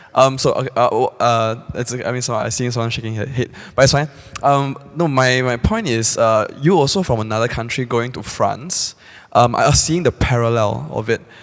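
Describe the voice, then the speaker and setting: Medium pitch marks this man's voice. Background noise is noticeable behind him. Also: ordinary pitch variation, moderate pace. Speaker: audience member. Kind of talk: audience question. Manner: halting.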